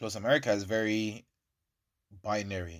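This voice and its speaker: An animated man with a slight Irish accent, fairly low-pitched, on a very clean recording with a silent background. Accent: Irish English, lighter, with African heritage. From Ireland. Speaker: podcast host. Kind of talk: casual chat.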